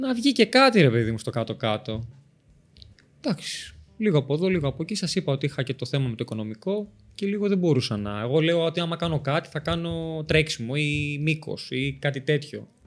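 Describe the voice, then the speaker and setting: A man with a plain, everyday voice and lively intonation at a fairly quick pace, on a very clean recording with a silent background. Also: fairly high pitch for a man. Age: 20s. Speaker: Paralympic athlete and personal trainer. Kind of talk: interview.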